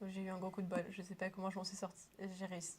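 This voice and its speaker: Speaking at a very fast pace, a woman keeps a medium pitch and a monotone, flat intonation. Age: 20s. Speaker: student actor. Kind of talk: interview.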